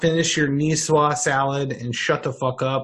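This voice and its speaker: In a normal speaking voice, a man talks at a fairly high pitch and a moderate pace. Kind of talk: casual chat.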